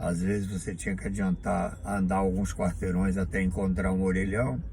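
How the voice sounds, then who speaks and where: In a room with audible echo, a man speaks at a fairly slow pace, his fairly low voice somewhat breathy. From Bahia, Brazil. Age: 70s. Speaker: vlogger. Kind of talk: monologue to camera.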